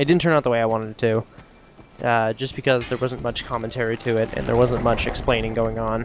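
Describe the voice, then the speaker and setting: A very fast man's voice at medium pitch, fairly even in intonation, over noticeable background noise. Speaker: gaming youtuber. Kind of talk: gameplay commentary. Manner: casual, filler-heavy.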